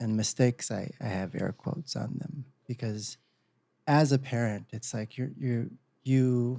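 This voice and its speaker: A man's dark, mellow voice at medium pitch, fairly slow, with ordinary pitch variation. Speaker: podcast co-host, parent. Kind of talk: casual podcast talk.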